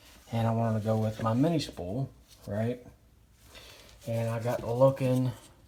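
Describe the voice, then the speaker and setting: A man is soft-spoken, with a dark, mellow tone. His intonation is fairly even, broken by long, frequent pauses. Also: medium pitch for a man, moderate pace. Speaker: car hobbyist vlogger. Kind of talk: casual DIY garage vlog. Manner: soft-spoken, keeping quiet; hesitant, many fillers.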